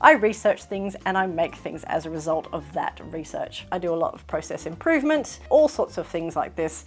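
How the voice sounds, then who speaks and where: A woman at a moderate pace with hardly any pauses and big swings in loudness, over music in the background. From Australia. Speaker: sewing vlogger. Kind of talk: casual talk to camera.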